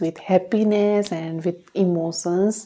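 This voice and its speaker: Speaking very slowly, a woman uses an Indian accent and a dark, mellow tone. Her intonation stays fairly even. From India (Rajasthan). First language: not English. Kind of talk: English-learner speaking practice talk to camera. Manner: slow, simple.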